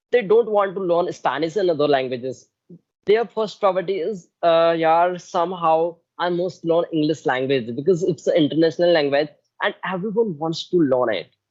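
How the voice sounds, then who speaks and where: The speaker has an Indian accent. The pace is moderate. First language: Hindi. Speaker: English learner, channel host. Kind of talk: casual conversation. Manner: halting non-fluent English.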